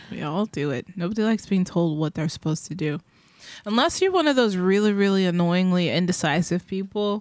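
On a very clean recording with a silent background and a dry, close sound with no echo, a woman with a plain, everyday voice speaks at a fairly quick pace in a medium pitch with ordinary pitch variation. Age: 30s. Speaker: podcast co-host, musician. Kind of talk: casual chat.

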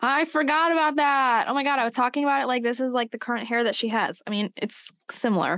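A woman with a high voice speaks at a very fast pace with hardly any pauses and ordinary pitch variation, in a dry, close sound with no echo against a quiet background. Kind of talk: casual chat.

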